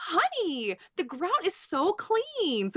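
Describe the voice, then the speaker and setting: Done in a put-on character voice, the speech has very wide pitch swings. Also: woman, extremely high pitch for a woman. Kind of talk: advertising read. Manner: affected, sugary.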